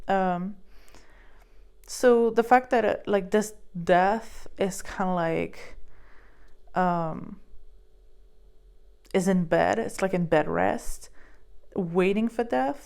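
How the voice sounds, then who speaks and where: The pace is very slow. A woman speaks in a non-native accent. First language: not English. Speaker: tarot reader and psychic medium. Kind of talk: tarot card reading. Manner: halting, many fillers.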